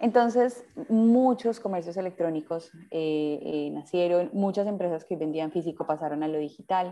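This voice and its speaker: A woman speaks at a fairly slow pace in a fairly low pitch, with a dark, mellow tone. Her intonation is lively, and she hardly pauses at all. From Colombia, Medellín. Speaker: startup founder. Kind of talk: interview.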